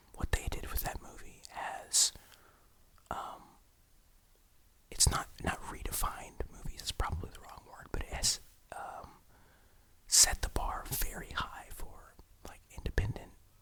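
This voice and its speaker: A man whispering at a fairly slow pace, with long, frequent pauses, big swings in loudness and noticeable background noise. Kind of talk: ASMR whispered ramble to camera. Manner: whispered, soft, rambling.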